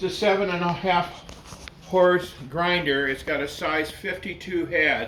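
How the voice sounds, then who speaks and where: With audible room echo and noticeable background noise, a man speaks at a high pitch and a fairly slow pace. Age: 70s. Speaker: butcher. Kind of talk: casual chat. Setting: butcher shop. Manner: halting.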